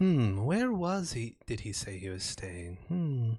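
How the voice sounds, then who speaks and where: Using a put-on character voice, a man speaks at a fairly slow pace. His medium pitch swings very widely. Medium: actual play.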